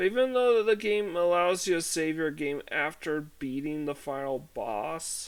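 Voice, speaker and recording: Quiet and fairly high-pitched, a man speaks at a fairly slow pace with lively intonation and hardly any pauses on a very clean recording with a silent background. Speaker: gaming video creator. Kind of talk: casual gameplay commentary.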